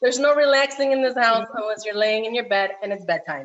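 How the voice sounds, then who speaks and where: A woman has a plain, everyday voice with a fairly high pitch. She talks at a fairly quick pace with ordinary pitch variation. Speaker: cooking class instructor. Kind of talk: tutorial.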